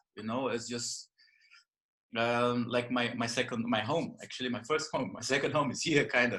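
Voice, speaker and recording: The man's tone comes across bright and sharp. He moves along at a fairly quick pace. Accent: Brazilian. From northern Brazil, Belém. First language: Portuguese. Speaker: yoga and jiu-jitsu teacher. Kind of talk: podcast interview. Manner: halting.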